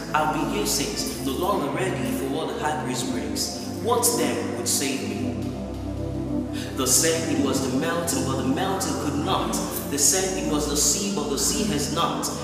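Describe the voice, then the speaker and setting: Loud music plays in the background while the speaker talks at a moderate pace. Room echo is audible. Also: man. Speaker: spoken word performer. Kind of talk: spoken word poetry, religious testimony. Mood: fervent, devotional. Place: church.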